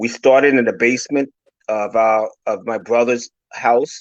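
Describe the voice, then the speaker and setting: A man with an ordinary speaking voice keeps his medium pitch fairly even, in a dry, close sound with no echo. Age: 60s. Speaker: business owner and motivational speaker. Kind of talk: motivational talk.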